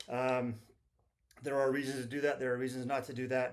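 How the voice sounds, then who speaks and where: A man with an American accent. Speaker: firearms video creator. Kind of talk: casual tutorial. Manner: fast.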